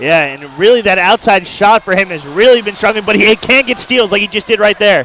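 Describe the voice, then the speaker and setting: With hardly any pauses, a man talks at a fairly quick pace in a high pitch with lively intonation over noticeable background noise. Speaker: color commentator analyst. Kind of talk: basketball color commentary.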